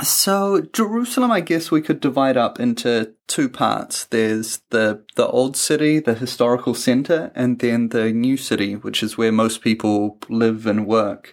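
With a New Zealand accent, a man talks at a fairly slow pace and medium pitch, with ordinary pitch variation, hardly any pauses and very even loudness, in a very clean recording with a silent background. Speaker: travel podcast host. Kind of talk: casual chat.

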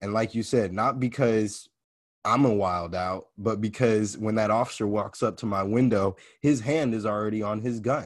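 A man with an American accent speaks in an ordinary speaking voice, fairly low in pitch, at a moderate pace. His intonation is fairly even, and the background is quiet. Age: 20s. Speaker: podcast host and inspirational speaker. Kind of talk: casual conversation.

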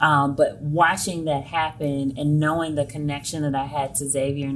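A woman with a very deep, low pitch and an American accent, fairly even intonation, a moderate pace, and audible room echo. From US South, Selma, Alabama. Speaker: education consultant. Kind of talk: interview.

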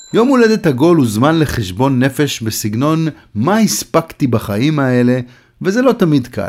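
Pitched fairly high, a man's voice sweeps through very wide pitch swings. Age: 60s. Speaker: columnist. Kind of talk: reading aloud.

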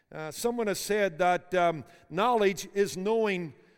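Speaking at a fairly slow pace, a man with a Northern Irish accent has a high pitch. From Belfast, Northern Ireland. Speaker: preacher and seminary board member. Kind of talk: sermon. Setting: university chapel with students.

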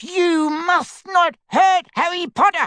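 An extremely high, squeaky, put-on character voice. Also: fairly slow pace. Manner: frightened, urgent.

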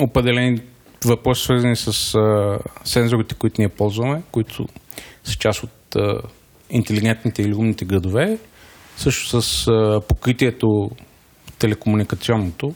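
Here a man talks at a moderate pace and a medium pitch. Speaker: startup founder. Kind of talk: interview.

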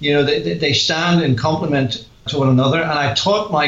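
In a Northern Irish accent, a man speaks at a moderate pace with a fairly high pitch and ordinary pitch variation, with noticeable background noise behind him. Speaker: author, guest on radio show; former pastor.

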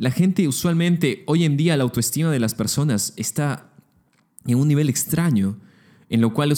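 Here a man speaks at a moderate pace with a fairly high pitch and a dark, mellow tone. His intonation is lively and his loudness stays very even. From Peru, Lima. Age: 20s. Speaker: podcast host, architecture student. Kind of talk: solo podcast monologue.

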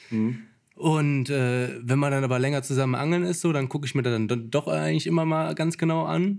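A man with a fairly high pitch has an unremarkable speaking voice and talks at a fairly quick pace. His loudness stays very even. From Lower Rhine, Germany (St. Tönis near Krefeld). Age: 20s. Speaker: carp angler. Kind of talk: casual chat. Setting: tackle shop.

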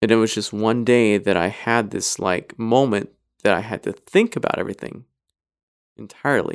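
Speaking with an American accent, a man with a plain, everyday voice keeps a moderate pace, medium pitch and fairly even intonation on a very clean recording with a silent background. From US, Idaho. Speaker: podcast guest. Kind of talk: casual chat.

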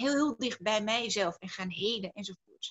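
A woman speaks in a plain, everyday voice at a fairly high pitch. Her pace is moderate and her intonation lively. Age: 30s. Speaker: entrepreneur and speaker on personal growth. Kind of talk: interview.

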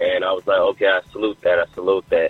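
Very fast speech with an American accent plays over noticeable background noise. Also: man. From Jamaica, Queens, New York. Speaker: hip hop artist. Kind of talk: radio interview.

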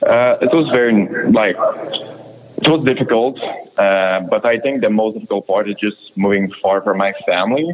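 A man speaks with a Quebec accent over noticeable background noise. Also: medium pitch for a man, ordinary pitch variation. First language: French. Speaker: junior hockey player. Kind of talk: interview.

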